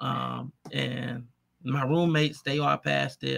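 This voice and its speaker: A man with an American accent is heard in a dry, close recording with no echo. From Detroit, Michigan, US. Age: 30s. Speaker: entrepreneur. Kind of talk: interview.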